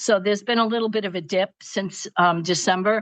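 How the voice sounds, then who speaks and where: In a Brooklyn accent, a woman speaks at a moderate pace with medium pitch and ordinary pitch variation, the sound dry and close with no echo over a quiet background. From Brooklyn, New York. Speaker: retired school psychologist, seminary graduate. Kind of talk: interview testimony. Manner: halting, many fillers.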